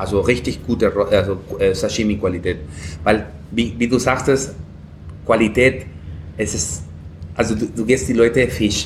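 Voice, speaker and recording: Someone with a Peruvian accent talks at a moderate pace with ordinary pitch variation. Long, frequent pauses break up the speech. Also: man, medium pitch for a man. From Peru, Lima. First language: Spanish (speaking German). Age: 30s. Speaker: chef. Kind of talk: casual interview. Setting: food festival, café.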